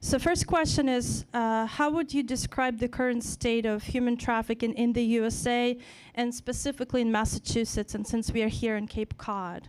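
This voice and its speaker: On a very clean recording with a silent background, a high-pitched woman with a Ukrainian accent speaks at a moderate pace with hardly any pauses and fairly even intonation. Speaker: event host and moderator. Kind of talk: panel moderation.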